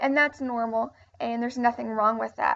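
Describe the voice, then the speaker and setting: High pitch and ordinary pitch variation from a woman. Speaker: teacher. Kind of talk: lecture. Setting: recorded video lesson. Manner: halting.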